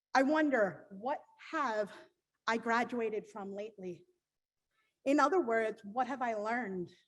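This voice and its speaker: With an American accent, a woman talks at a fairly slow pace and a fairly high pitch, showing ordinary pitch variation and long, frequent pauses. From Pennsylvania, Lancaster. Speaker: graduating student. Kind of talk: graduation speech. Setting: commencement ceremony with audience.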